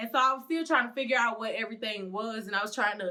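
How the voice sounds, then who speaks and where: A woman talks very fast with a strong Southern US accent. Her tone is animated and her pitch fairly high. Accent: strong Southern country. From Mississippi. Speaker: vlogger. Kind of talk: casual vlog monologue. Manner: loud.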